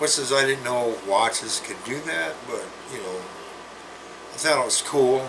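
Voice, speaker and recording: Over noticeable background noise and audible room echo, a man with a medium pitch and ordinary pitch variation talks at a fairly slow pace with long, frequent pauses. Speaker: health vlogger. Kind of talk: casual vlog monologue. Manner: halting, many fillers and restarts.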